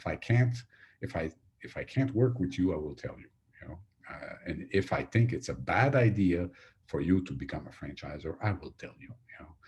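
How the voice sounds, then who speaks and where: A man with a French accent speaks at a moderate pace in a fairly low, somewhat breathy voice, with very wide pitch swings and big swings in loudness. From Quebec. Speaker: franchise consultant. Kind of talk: webinar sales pitch. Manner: halting, many fillers and repetitions.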